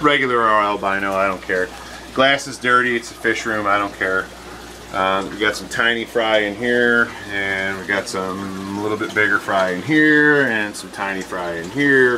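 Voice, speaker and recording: Noticeable background noise under a man's fairly low-pitched voice. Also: ordinary pitch variation, moderate pace. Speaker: fish hobbyist. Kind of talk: home tour walkthrough. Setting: basement fish room. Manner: casual with many fillers.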